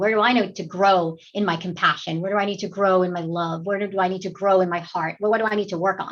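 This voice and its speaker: A woman at medium pitch, talking at a very fast pace. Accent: American. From New York. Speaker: actress. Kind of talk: interview.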